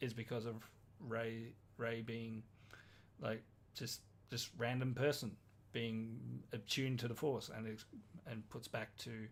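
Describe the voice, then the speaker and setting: In an Australian accent, a man speaks at medium pitch with monotone, flat intonation at a very slow pace. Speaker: podcast co-host. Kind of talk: casual chat. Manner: halting.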